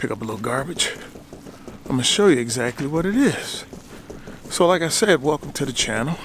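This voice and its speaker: Speaking at a fairly quick pace with lively intonation and an American accent, this voice breaks into long, frequent pauses over noticeable background noise. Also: man, fairly high pitch for a man. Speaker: YouTuber. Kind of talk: casual vlog.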